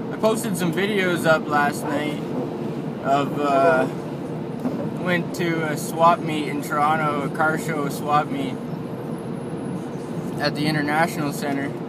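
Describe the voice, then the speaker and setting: A man at a fairly slow pace, with long, frequent pauses over loud background noise. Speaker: driver vlogger. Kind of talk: casual vlog chat. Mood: sober about fatal crash. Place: car. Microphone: phone near.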